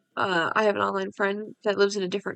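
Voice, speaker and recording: A soft-spoken woman's voice at medium pitch and a fairly quick pace. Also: dry, close sound with no echo. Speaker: gaming youtuber. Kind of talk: casual gameplay commentary. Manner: soft-spoken, talking quieter. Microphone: voice a bit quiet.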